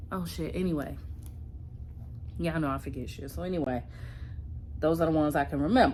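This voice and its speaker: A woman speaks with a very deep, low pitch and very wide pitch swings. Audible room echo surrounds her voice. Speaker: vlogger. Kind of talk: casual vlog talk. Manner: whispering.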